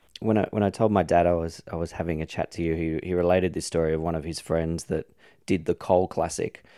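An Australian man speaks in a very deep, low pitch with a dark, mellow tone. His pace is very fast and his intonation monotone and flat. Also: dry, close sound with no echo. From Australia (Sydney, Epping). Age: 40s. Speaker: podcast host. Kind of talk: interview.

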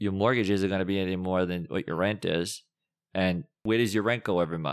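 With an American accent, a man speaks at a fairly quick pace with a very deep, low pitch and ordinary pitch variation. The recording is very clean with a silent background. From Massachusetts. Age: 40s. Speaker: finance and lending expert. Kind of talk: casual interview.

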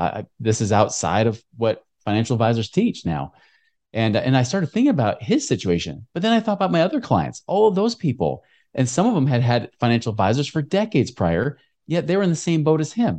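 Speaking fairly quickly with an American accent, a man uses a dark, mellow tone at medium pitch, with vocal fry and very wide pitch swings, over a quiet background. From Oregon, US. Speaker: financial educator and podcast host. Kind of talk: interview.

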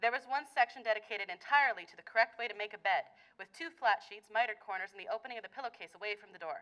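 A woman speaks at a very fast pace in a fairly high pitch. Her tone is bright and sharp. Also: ordinary pitch variation, big swings in loudness. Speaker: author and English teacher. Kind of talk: reading aloud from her novel.

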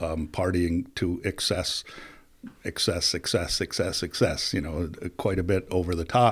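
A man with an American accent speaks at a very deep, low pitch. His moderate pace sits in a very clean recording with a silent background. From US Northeast, upstate New York (Plattsburgh). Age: 50s. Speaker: business executive and recovery advocate. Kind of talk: casual interview.

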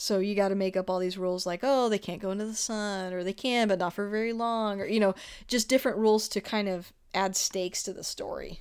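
A woman with a normal speaking voice at a fairly quick pace, medium pitch and fairly even intonation, in a very clean recording with a silent background. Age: 30s. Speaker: podcast host. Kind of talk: casual chat.

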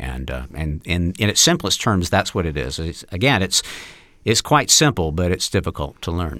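A man with an American accent speaks at a moderate pace in a very deep, low pitch, his tone bright and sharp with vocal fry. The recording is very clean, with a silent background. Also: lively intonation. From US South, Mississippi. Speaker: actor and acting coach. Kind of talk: interview. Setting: studio. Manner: halting, many fillers.

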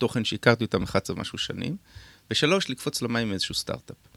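A medium-pitched man rattles through his words extremely quickly. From Israel, kibbutz in the north. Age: 50s. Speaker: tech entrepreneur. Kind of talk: radio interview. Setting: radio studio.

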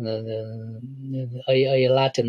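Recorded in a dry, close sound with no echo, a man with a Vietnamese accent speaks at medium pitch in a dark, mellow, somewhat breathy tone. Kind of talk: interview testimony. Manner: halting, many repetitions.

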